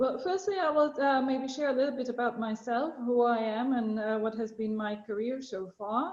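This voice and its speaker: A woman speaks at a high pitch and a moderate pace, with ordinary pitch variation and hardly any pauses. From Slovakia. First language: Slovak. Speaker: international organization official. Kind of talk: talk to students. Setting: video call. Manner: hesitant with many fillers.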